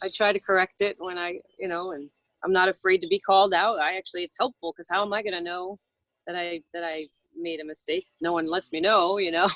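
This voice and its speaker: Speaking at a fairly quick pace, a woman uses a medium pitch and fairly even intonation with an American accent. Her loudness swings widely, and the sound is dry and close with no echo. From US Northeast, Long Island. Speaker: radio host. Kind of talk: casual interview chat. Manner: halting, many fillers.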